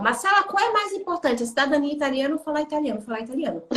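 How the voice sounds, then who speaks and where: A woman speaks while noticeable noise lingers in the background. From Brazil. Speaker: psychologist and job market consultant. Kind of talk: live interview. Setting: Instagram live stream. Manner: animated.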